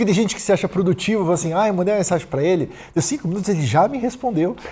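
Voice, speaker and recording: A man talking at a very fast pace, high in pitch, with lively intonation over noticeable background noise. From Brazil, Santos (São Paulo state). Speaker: productivity author and entrepreneur. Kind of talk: casual podcast interview. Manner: direct, objective.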